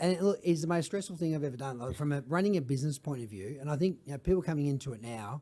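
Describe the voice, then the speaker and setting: A man with an Australian accent speaks at a very fast pace with hardly any pauses, in a dark, mellow tone. His pitch is fairly high with ordinary pitch variation, on a very clean recording with a silent background. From Australia, Melbourne. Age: 50s. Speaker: social enterprise founder. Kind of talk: podcast interview. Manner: animated.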